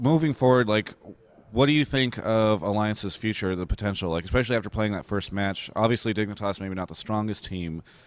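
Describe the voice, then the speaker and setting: A man with an American accent speaks at a fairly quick pace. His is an ordinary speaking voice with ordinary pitch variation. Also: fairly low pitch for a man. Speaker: esports interviewer. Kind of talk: interview.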